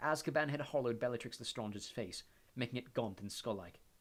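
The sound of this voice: Reading in an unforced reading voice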